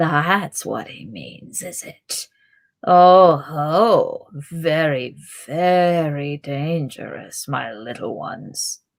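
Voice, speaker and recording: A soft-spoken, put-on character voice sits at a middle pitch with a hissing quality. It moves at a very slow pace. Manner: menacing, sly, sinister.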